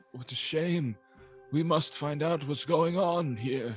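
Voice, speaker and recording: A man's put-on character voice, fairly high in pitch with ordinary pitch variation and a fairly slow pace, over faint music in the background. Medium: actual play. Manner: fussy, old-fashioned.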